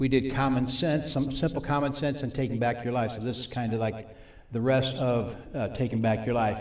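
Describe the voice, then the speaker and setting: Against audible room echo, a man at a medium pitch speaks at a fairly quick pace with fairly even intonation. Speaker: recovery ministry teacher. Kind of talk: sermon.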